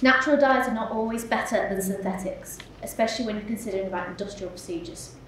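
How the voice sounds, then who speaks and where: A woman with a West Yorkshire accent speaks at a very fast pace in a fairly high pitch, with ordinary pitch variation. Light background noise and audible room echo are present. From West Yorkshire, Huddersfield area; West Yorkshire, England. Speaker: MA research student. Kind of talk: conference talk. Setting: symposium stage with audience. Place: hall. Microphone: podium.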